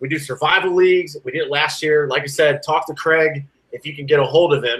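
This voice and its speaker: A man speaks in a Southern US accent at a fairly quick pace. His pitch varies in an ordinary way. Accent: southern twang. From US South. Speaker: sports podcast co-host and musician. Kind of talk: casual chat. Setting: live-streamed podcast recording.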